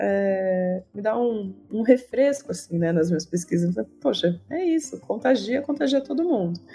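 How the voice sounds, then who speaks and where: A woman's dark, mellow tone at a moderate pace with very wide pitch swings. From Campinas, São Paulo state, Brazil. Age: 30s. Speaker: sports historian. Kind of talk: interview.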